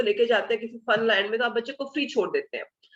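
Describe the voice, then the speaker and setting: Here a woman talks at a high pitch. Her intonation is lively. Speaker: Montessori teacher trainer. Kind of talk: online training lecture. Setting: online video session. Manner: halting, many fillers.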